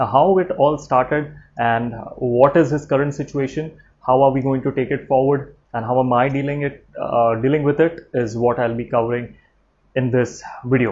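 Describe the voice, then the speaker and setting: A man with an Indian accent speaks at a moderate pace in a medium pitch, his somewhat breathy voice keeping a fairly even intonation. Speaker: trainer and YouTuber. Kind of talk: personal vlog announcement. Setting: live stream from home. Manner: hesitant, many fillers.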